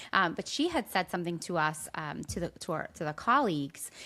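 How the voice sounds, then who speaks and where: A woman speaks in a New Jersey accent. The recording is very clean with a silent background. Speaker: podcast co-host and teacher. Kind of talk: casual podcast chat.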